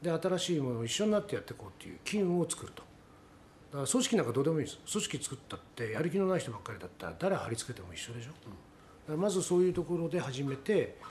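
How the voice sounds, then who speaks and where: Talking at a very fast pace, a man uses a fairly high voice and lively intonation. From Tokyo. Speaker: company president. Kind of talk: interview.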